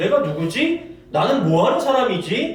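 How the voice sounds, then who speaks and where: The speech comes at a fairly slow pace. Audible room echo and noticeable background noise accompany it. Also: man. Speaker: pastor. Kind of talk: sermon.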